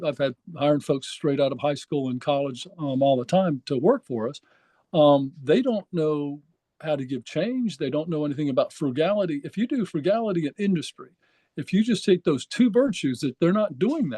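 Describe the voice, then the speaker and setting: The tone is dark and mellow, with lively intonation at a moderate pace. The sound is dry and close with no echo, and the background is quiet. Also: man. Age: 60s. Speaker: political candidate. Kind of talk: podcast interview. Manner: hesitant, many fillers.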